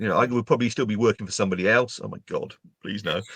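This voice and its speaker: A man's medium-pitched voice with an English accent. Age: 60s. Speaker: LinkedIn trainer and speaker. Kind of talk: interview.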